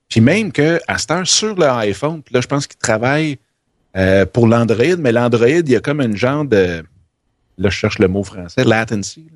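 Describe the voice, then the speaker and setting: In a Quebec accent, the speaker moves at a moderate pace with lively intonation, big swings in loudness, and long, frequent pauses. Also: man, medium pitch for a man. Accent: Québécois French. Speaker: podcaster. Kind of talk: casual chat. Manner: animated.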